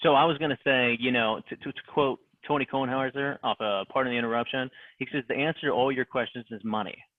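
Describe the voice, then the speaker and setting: A man with an American accent talks at a very fast pace in a medium pitch. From Ohio. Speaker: sports fan guest. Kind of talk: casual podcast chat. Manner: animated.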